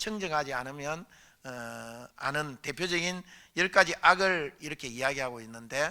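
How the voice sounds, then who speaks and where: Bright and sharp in tone, a man with a fairly high pitch speaks at a fairly slow pace with ordinary pitch variation and big swings in loudness. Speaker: Buddhist monk, temple abbot. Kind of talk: dharma lecture. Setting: dharma assembly at a temple. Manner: hesitant, many fillers.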